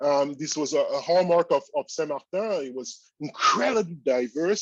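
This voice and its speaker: A man with a French accent is heard in a dry, close recording with no echo. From Cameroon, French-speaking part. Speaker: statistics professor. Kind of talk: keynote lecture. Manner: hesitant, many fillers.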